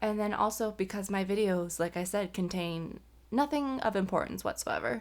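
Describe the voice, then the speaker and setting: In a very clean recording with a silent background, a woman mumbles at a moderate pace with a fairly high pitch. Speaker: vlogger. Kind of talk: casual chat. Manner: mumbling.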